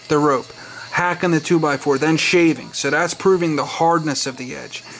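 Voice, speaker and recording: Over noticeable background noise, a man speaks in an enthusiastic tone at a fairly high pitch. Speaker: knife collector video reviewer. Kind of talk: casual product showcase. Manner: casual, enthusiastic.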